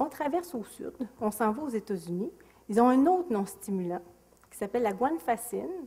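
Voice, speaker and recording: A woman's fairly high voice with a Quebec accent, very wide pitch swings and long, frequent pauses, over noticeable background noise. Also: moderate pace. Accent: Québécois French. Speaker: psychiatrist. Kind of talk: lecture. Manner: animated.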